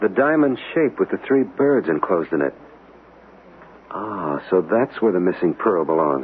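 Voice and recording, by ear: Using a put-on character voice, a man speaks at a fairly slow pace and low pitch, with lively intonation and a slightly husky edge.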